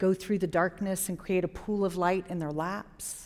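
A woman with an American accent and an unremarkable speaking voice at medium pitch, moderate pace, very clean recording and silent background. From Jacksonville, Florida. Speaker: storyteller. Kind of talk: live storytelling. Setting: stage with audience.

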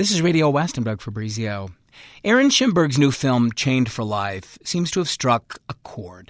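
A man talks in a plain, everyday voice at medium pitch and a moderate pace, with lively intonation. The sound is dry and close with no echo, over a quiet background. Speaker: radio host. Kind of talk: radio interview. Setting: studio.

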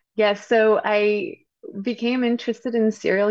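A fairly slow delivery in a French accent. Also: woman. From France. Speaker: novelist and journalist. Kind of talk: interview about her book.

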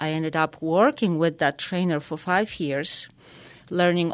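A woman's fairly low voice in a Polish accent, on a very clean recording with a silent background. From Poland. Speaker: equine therapy life coach. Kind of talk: radio interview.

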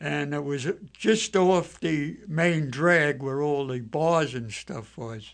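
A man at a very slow pace, fairly high in pitch, with ordinary pitch variation. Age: 80s+. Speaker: navy veteran. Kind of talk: radio panel discussion. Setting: studio. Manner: halting.

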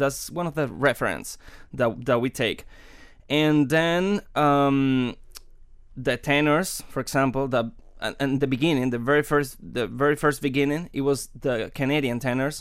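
A man with a Spanish accent at a fairly high pitch and moderate pace, fairly even in intonation, on a very clean recording with a silent background. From Cuba. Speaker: opera singer. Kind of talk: interview. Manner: halting.

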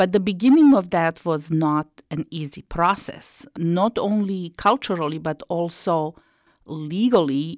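In a dry, close recording with a quiet background, a woman speaks with a Slovenian accent. Her pitch sits fairly low, moves with ordinary variation, and she talks at a fairly slow pace. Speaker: immigrant support worker. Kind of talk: testimony.

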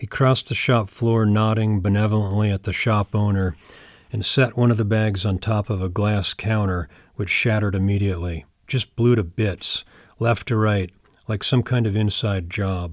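A man with an American accent and a plain, everyday voice speaks at a moderate pace with fairly even intonation and a fairly low pitch, in a very clean recording with a silent background. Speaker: poet. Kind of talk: poetry reading, deadpan literary delivery of a surreal poem.

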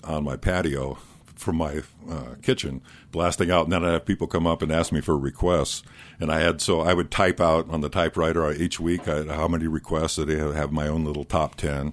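A man with an American accent speaks at a moderate pace in a very deep, low voice. His intonation is fairly even, with vocal fry. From Iowa. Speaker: radio morning host and musician. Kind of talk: casual chat. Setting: studio.

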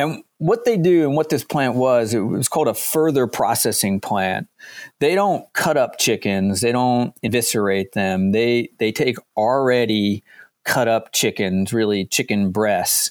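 With lively intonation and very even loudness, a man talks at medium pitch and a fairly slow pace, in a very clean, dry, close recording with a silent background and no echo. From southern New Jersey. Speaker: history professor and author. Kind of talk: radio interview. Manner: hesitant, many fillers and repeated words.

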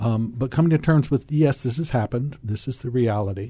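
A man speaks with an American accent. His tone is dark and mellow, and somewhat breathy. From US Deep South. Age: old. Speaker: clinical psychologist. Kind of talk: radio panel discussion. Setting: radio studio.

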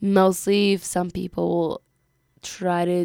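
A woman speaks with a Spanish accent in a dark, mellow, medium-pitched voice and flat, monotone intonation. The recording is very clean, the background silent. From Peru. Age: 20s. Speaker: college student. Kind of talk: radio interview. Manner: hesitant, many fillers.

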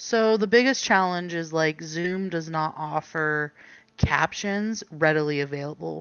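In an ordinary speaking voice, a woman talks at a fairly slow pace, her pitch fairly low with ordinary variation. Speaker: interviewee with hearing loss. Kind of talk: casual chat. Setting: video call. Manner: casual, filler-heavy.

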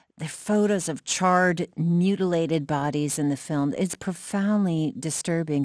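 A normal speaking voice moves at a fairly slow pace with lively intonation. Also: woman. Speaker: public radio host. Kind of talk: radio interview show. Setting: studio.

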